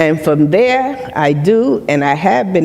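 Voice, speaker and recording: A woman with an American accent speaks at a very slow pace, with a very deep, low pitch and very wide pitch swings. The recording carries audible room echo and noticeable background noise. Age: 70s. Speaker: retired nurse and mental health speaker. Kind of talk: personal testimony on stage. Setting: stage with live audience.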